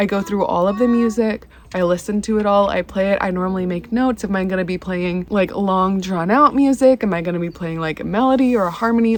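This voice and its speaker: A woman has an unremarkable speaking voice at a medium pitch. She talks at a fairly quick pace with ordinary pitch variation. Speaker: violinist on church worship team. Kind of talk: vlog tutorial. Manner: casual, chatty.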